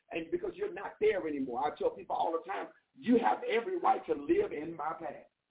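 A woman's medium-pitched voice at a fairly quick pace, with very wide pitch swings, a husky, rough edge and vocal fry

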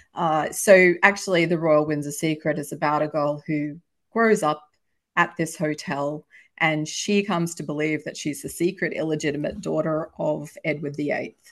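With an Australian accent, a woman speaks at a moderate pace in a very deep, low pitch, keeping her intonation fairly even. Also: quiet background. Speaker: historical novelist. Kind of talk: casual interview.

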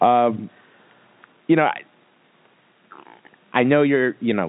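A man talks at a fairly slow pace. His pitch variation is ordinary.

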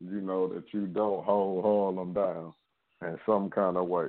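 A man with a Louisiana accent speaks at a fairly slow pace. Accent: Southern US (Louisiana). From Louisiana, Shreveport. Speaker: record label executive. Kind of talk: casual interview. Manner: laid back.

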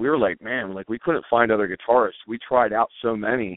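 An ordinary speaking voice with an American accent, at a fairly quick pace. Pitch varies in an ordinary way. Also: man. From Pennsylvania, Lancaster County. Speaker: rock band singer and guitarist. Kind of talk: interview.

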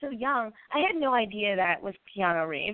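A woman speaks at a moderate pace. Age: 20s. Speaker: podcast host. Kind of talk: casual interview chat. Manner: animated.

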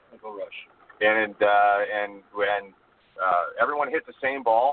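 A plain, everyday voice moves at a fairly quick pace. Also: man. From Canada. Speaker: long drive event organizer. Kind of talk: radio interview. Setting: phone call from a truck.

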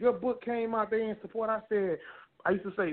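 A man's high-pitched voice at a fairly quick pace. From Texas, Beaumont. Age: 20s. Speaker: author and youth mentor. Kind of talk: interview testimony. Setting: phone call.

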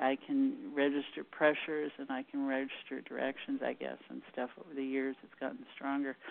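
Lively intonation from a female speaker. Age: 60s. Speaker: energy practitioner and consciousness facilitator. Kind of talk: interview on an internet radio show. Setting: phone call.

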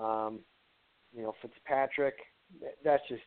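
A man with an American accent speaks at a medium pitch in a monotone, flat delivery. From Ohio. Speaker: fantasy football writer. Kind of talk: casual chat.

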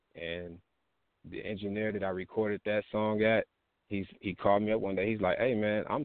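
This man has a fairly low pitch and a plain, everyday voice, talking at a fairly quick pace. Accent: American. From Texas. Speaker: rapper. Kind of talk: casual interview. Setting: online radio show.

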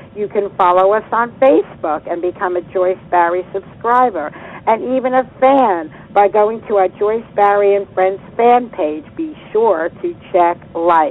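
Over noticeable background noise, a woman of medium pitch speaks with lively intonation. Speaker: radio host and coach. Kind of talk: radio interview. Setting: live radio show.

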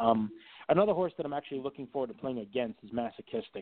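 A man speaks at a very fast pace in a medium pitch, his intonation lively. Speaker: horse racing TV analyst, handicapper. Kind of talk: casual interview.

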